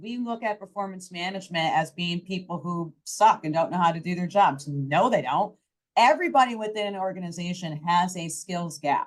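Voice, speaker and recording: The delivery is animated, with big swings in loudness. The pace is moderate and the pitch varies in an ordinary way. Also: woman. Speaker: startup founder and HR expert. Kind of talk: panel discussion.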